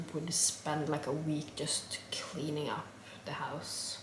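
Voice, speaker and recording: A woman talks fairly slowly while noticeable background noise and audible room echo fill the recording. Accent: Norwegian. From Norway. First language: Norwegian. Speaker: vlogger. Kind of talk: casual chat. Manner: halting.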